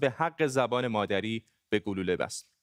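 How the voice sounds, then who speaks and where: On a very clean recording with a silent background, a man speaks in a Gilan accent with ordinary pitch variation. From Iran, Gilan. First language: Gilaki (speaking Persian). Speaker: TV news anchor. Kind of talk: news presenting.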